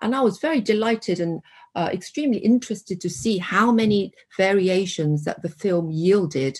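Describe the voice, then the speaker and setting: Somewhat breathy and medium in pitch, a woman talks at a moderate pace with lively intonation. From South Korea. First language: Korean. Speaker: professor. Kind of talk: academic discussion.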